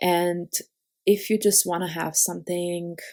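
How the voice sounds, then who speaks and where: The delivery is monotone and flat, with a dark, mellow tone. It moves at a fairly slow pace. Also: woman. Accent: non-native. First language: not English. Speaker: card-making crafter. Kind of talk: tutorial. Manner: halting, many fillers.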